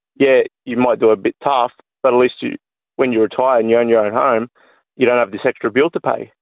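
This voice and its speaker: A man with an Australian accent, medium pitch, flat monotone intonation, a fairly quick pace, and long, frequent pauses. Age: 30s. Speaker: electrician, caller. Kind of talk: talkback call.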